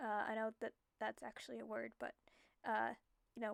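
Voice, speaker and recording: A soft-spoken woman talks at a fairly high pitch, the sound dry and close with no echo. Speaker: digital artist narrating speedpaint. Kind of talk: casual voiceover monologue. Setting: home recording at night. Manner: quiet, soft-spoken; hesitant, many fillers.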